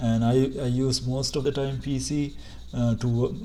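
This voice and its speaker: A man talks at a moderate pace. There is audible echo in the room. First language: not English. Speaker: tech tutorial youtuber. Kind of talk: screen-share tutorial. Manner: halting, many fillers and restarts.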